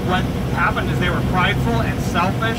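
A man talks at a very fast pace while loud background noise fills the recording. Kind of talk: sermon. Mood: earnest, reflective. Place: bus.

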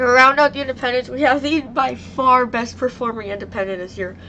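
A woman's fairly high voice with ordinary pitch variation, heard over noticeable background noise. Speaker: YouTuber covering monster truck events. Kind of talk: casual vlog talk. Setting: home recording with computer mic.

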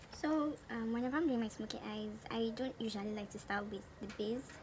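With noticeable background noise behind her, a woman with a fairly high pitch speaks at a moderate pace. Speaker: beauty vlogger. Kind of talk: casual talk to camera, makeup tutorial. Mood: cheerful, relaxed. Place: home room. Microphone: phone near.

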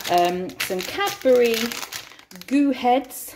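Noticeable background noise behind a lively, varied intonation. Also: woman. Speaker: mother vlogger. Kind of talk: casual vlog chat. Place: kitchen. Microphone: phone near.

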